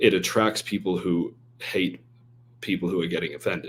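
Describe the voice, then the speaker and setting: Speaking in an American accent, a man with a very deep, low pitch uses ordinary pitch variation. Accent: often mistaken for Australian. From half English, half American. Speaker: email marketer and stand-up comedian. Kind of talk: podcast interview. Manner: animated.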